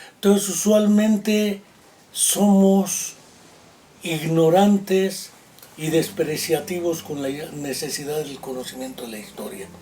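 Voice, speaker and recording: Very slow, high male voice with lively intonation, big swings in loudness, long, frequent pauses, and noticeable background noise. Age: 60s. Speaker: psychologist and writer. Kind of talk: interview.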